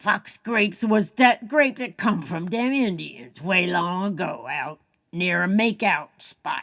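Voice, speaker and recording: In a put-on character voice that sounds female, someone speaks fairly slowly in a Southern US accent as part of the act. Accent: Southern dialect, "dat", "dem", "de". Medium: read story. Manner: folksy, drawling.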